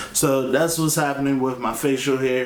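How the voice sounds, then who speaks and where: With an energetic tone, a man at medium pitch speaks amid noticeable background noise and audible room echo. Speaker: vlogger. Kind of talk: video diary update. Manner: casual, energetic.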